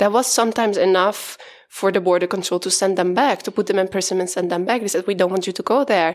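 In a Dutch accent, the speech comes at a very fast pace with fairly even intonation. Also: woman, medium pitch for a woman. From Netherlands. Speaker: consultant. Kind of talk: casual chat.

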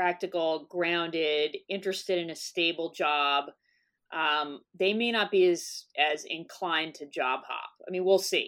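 With an American accent, a woman speaks in an unremarkable speaking voice. Her pitch is fairly low and her pace fairly slow. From US South. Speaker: psychology professor. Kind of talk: interview.

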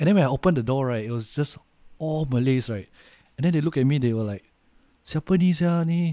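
In a Singaporean accent, a man talks very fast with a fairly high pitch, a dark, mellow tone and ordinary pitch variation. He takes long, frequent pauses, and the recording is very clean with a silent background. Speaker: podcast co-host. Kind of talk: casual chat.

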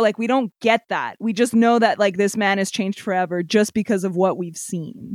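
The sound is dry and close, with no echo. A woman speaks with ordinary pitch variation. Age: 20s. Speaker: podcast co-host, entertainment assistant. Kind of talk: casual chat. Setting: remote online recording. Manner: animated.

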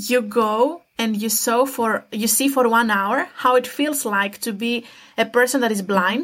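Music plays in the background as a woman speaks at a fairly slow pace with a Greek accent. Her pitch is fairly high, with ordinary variation. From Greece. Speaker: student. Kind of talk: interview.

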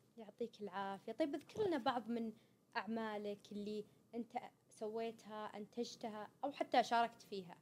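A woman talks at a moderate pace. She has an unremarkable speaking voice at a fairly high pitch. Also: ordinary pitch variation. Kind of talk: interview.

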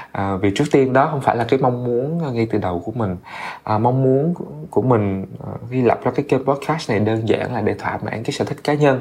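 Noticeable background noise sits behind a man who talks at a moderate pace with ordinary pitch variation. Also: medium pitch for a man. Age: 30s. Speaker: podcast host. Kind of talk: casual monologue. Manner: hesitant, many fillers.

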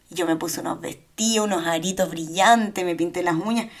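With a plain, everyday voice, a woman of medium pitch speaks at a moderate pace and with fairly even intonation. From Chile. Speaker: podcast co-host. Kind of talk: casual chat.

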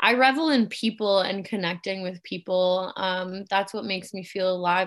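A woman with a Canadian accent talks at a moderate pace in a medium pitch, with an unremarkable speaking voice. Her intonation is fairly even, and the background is quiet. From Germany, moved to Canada at eight. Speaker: photographer. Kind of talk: casual chat.

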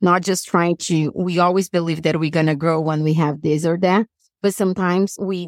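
A woman speaks in a Brazilian Portuguese accent at a fairly low pitch and a moderate pace. Her intonation is fairly even, and the sound is dry and close with no echo. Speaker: business coach. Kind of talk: interview.

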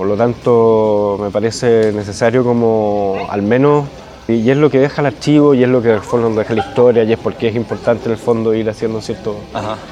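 Over noticeable background noise, a voice with a Chilean accent moves at a moderate pace with fairly even intonation. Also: man, medium pitch for a man. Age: 40s. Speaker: writer. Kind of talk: interview. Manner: halting.

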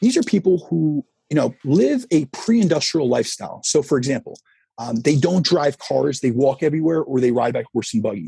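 Speaking at a fairly quick pace with an American accent, a man uses lively intonation in a somewhat breathy, fairly high voice with a dark, mellow tone, recorded dry and close with no echo. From US Northeast, New Jersey. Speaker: fitness coach. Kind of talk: interview.

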